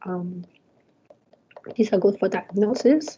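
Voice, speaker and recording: A woman speaks with a non-native accent and a dark, mellow tone. Her pitch variation is ordinary. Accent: non-native English, trouble with th and z. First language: not English. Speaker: university lecturer. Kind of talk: lecture. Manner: hesitant, many fillers.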